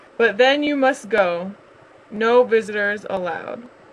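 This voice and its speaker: Someone does a gruff, put-on character voice with a fairly high pitch at a moderate pace. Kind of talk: children's picture book voice. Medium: read story. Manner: gruff, huffy.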